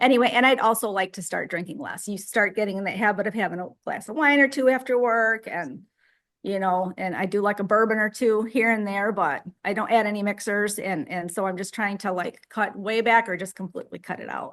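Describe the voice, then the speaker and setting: Against a quiet background, a woman in a normal speaking voice talks at medium pitch and a fairly quick pace, with ordinary pitch variation and hardly any pauses. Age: 60s. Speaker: group member sharing diet story. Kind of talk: casual group chat.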